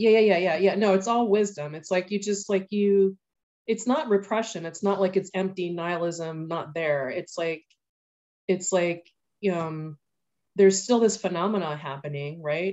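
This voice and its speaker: Medium pitch and ordinary pitch variation from a woman, delivered at a moderate pace. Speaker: class participant. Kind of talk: audience question. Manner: halting, many fillers.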